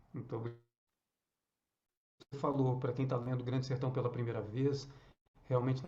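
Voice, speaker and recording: A somewhat breathy, dark, mellow voice with audible room echo. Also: man. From northern Minas Gerais, Brazil. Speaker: actor. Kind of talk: casual chat. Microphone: too quiet.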